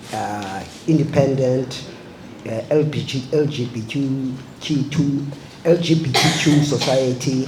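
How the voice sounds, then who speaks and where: The voice shows ordinary pitch variation, heard through audible room echo and noticeable background noise. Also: man. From South Africa. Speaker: filmmaker. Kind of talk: panel discussion.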